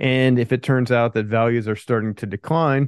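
A man with an unremarkable speaking voice talks at a medium pitch with fairly even intonation. The sound is dry and close with no echo, over a quiet background. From Pennsylvania. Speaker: land investor. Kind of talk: interview.

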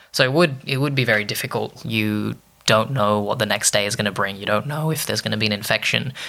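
A man with an Australian accent, very fast, fairly low-pitched, with a bright, sharp tone and ordinary pitch variation. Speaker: lawyer. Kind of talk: interview.

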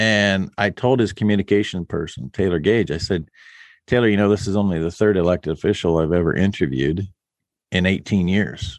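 At a moderate pace, a man speaks with a fairly low pitch and ordinary pitch variation. The sound is dry and close with no echo, over a quiet background. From West Central Illinois, US Midwest. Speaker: radio host and podcaster on rural life. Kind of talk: casual interview chat.

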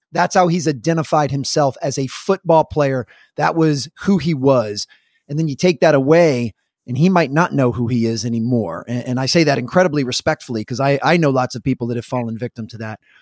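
A man with an ordinary speaking voice talks at a fairly quick pace and medium pitch with ordinary pitch variation, the sound dry and close with no echo. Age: 40s. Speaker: performance coach. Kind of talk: casual chat.

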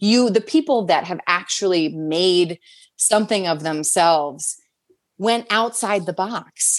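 A woman with an American accent talks in an ordinary speaking voice at medium pitch. Her pace is fairly slow and her intonation lively. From Southern New Jersey. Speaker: actor and host. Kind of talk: casual chat.

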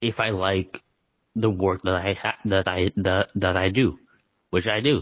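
This man has a fairly low-pitched voice. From Canada. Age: 20s. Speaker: author. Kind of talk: interview.

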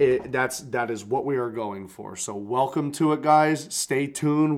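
A plain, everyday voice in an American accent, at a moderate pace with ordinary pitch variation. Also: man. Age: 20s. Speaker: podcast co-host. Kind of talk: casual chat.

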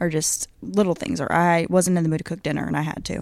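A woman with a fairly low pitch uses a normal speaking voice, talking at a fairly quick pace with ordinary pitch variation. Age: 20s. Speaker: podcast co-host. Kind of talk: casual chat.

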